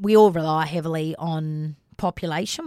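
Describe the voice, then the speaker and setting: This woman's pitch is very deep and low. The recording is very clean, with a silent background. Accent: Australian. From Australia, Northern Territory (North East Arnhem Land). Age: 30s. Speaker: teacher turned business owner. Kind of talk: casual interview chat.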